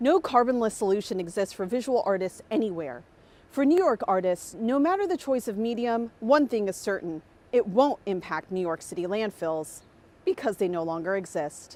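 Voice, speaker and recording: A woman with an American accent speaks in an ordinary speaking voice, fairly high-pitched, at a moderate pace with lively intonation. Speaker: broadcast journalist, reporter, anchor and host.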